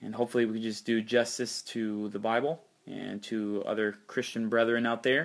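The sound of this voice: Fairly low-pitched male voice at a moderate pace, with fairly even intonation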